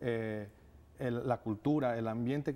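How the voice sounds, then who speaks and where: With a dark, mellow tone, the man talks using ordinary pitch variation. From Ecuador. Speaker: nonprofit director. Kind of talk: TV interview. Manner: hesitant, many fillers. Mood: earnest, thoughtful. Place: studio. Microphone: lapel.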